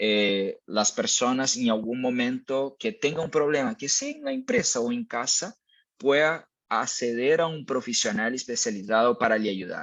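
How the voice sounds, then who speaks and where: A man with a Brazilian accent speaks at a fairly slow pace. His medium-pitched voice carries lively intonation. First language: Portuguese (speaking Spanish). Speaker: mental health company speaker. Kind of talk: webinar presentation. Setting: online webinar. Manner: hesitant, frequent fillers.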